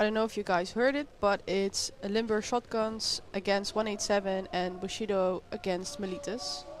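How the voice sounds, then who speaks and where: A woman with a Dutch accent speaks at a medium pitch and moderate pace, with ordinary pitch variation and hardly any pauses, over noticeable background noise. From Netherlands. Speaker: sports commentator. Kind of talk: live commentary. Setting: small booth at a paintball event. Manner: casual, chatty.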